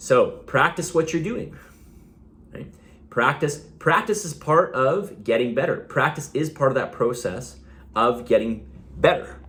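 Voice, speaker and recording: A man talks at a fairly slow pace in a fairly high pitch, with vocal fry. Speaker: fitness coach. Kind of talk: video monologue. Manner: casual, with fillers.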